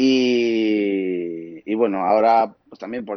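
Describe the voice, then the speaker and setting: This man has a fairly low-pitched voice. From Asturias, Spain. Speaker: photographer. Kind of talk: interview.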